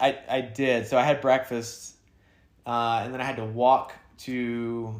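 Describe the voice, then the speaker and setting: A man's medium-pitched voice in a Southern US accent, fairly slow, with flat, monotone intonation and big swings in loudness. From US South. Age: 30s. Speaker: podcast co-host, thru-hiker. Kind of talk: casual chat.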